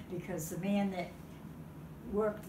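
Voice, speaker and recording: A woman with an Eastern New England accent speaks at a medium pitch, with audible room echo. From Massachusetts, Franklin. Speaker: local elder. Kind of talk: oral history interview.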